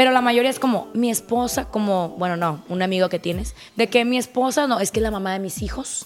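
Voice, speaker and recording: An animated woman with a Mexican accent talks at a fairly quick pace, medium in pitch with ordinary pitch variation. Music plays in the background. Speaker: swinger guest. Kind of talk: casual chat.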